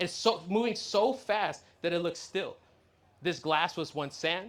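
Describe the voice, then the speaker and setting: Animated in tone and high in pitch, a man with a Californian accent is heard on a very clean recording with a silent background. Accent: Californian American English. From US, San Diego. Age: 20s. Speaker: law of attraction coach. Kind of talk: motivational talk to live audience. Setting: stage with audience and slides. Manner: animated, repetitive.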